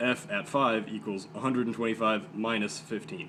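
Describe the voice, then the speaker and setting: A man with an American accent, medium pitch, and ordinary pitch variation. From Southern United States. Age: young. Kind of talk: math lesson explanation.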